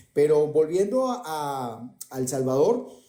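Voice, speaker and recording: A man with a fairly high, dark and mellow voice speaks very slowly with very wide pitch swings, and the room echo is audible. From Venezuela. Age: 60s. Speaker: economist. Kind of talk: debate.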